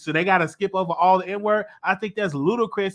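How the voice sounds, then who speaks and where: Bright and sharp in tone, the voice is raised and projected, with ordinary pitch variation. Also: man. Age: 30s. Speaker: talk show host. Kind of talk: heated debate. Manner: animated.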